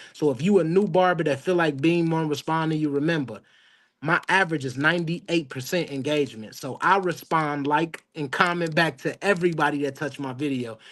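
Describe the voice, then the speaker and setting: A man talks at a fairly quick pace in a normal speaking voice against a quiet background. His pitch is fairly high, with ordinary pitch variation. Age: 30s. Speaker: barber. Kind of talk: casual chat.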